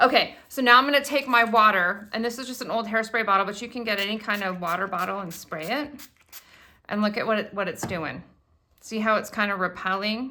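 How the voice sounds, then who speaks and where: Loud and fairly quick, a woman speaks in a bright, sharp tone at a fairly high pitch with ordinary pitch variation. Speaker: crafting video host. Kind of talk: tutorial. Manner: animated.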